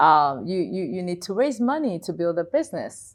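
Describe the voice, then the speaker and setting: A woman with a Nigerian accent speaks at a fairly low pitch. Her pace is moderate and the background is quiet. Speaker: health tech founder and CEO. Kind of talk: interview.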